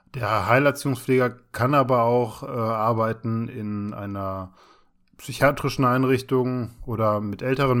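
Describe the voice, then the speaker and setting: In a very clean recording with a silent background, a man with a plain, everyday voice speaks at a moderate pace in a medium pitch and fairly even intonation. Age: 30s. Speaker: podcast co-host, trainee special-needs care worker. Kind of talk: casual chat.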